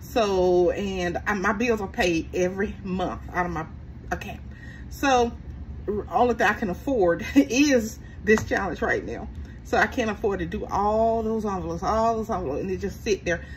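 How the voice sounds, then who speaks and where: Light background noise sits under a woman who talks at a moderate pace. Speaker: budgeting channel host. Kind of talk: casual vlog chat. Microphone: phone near.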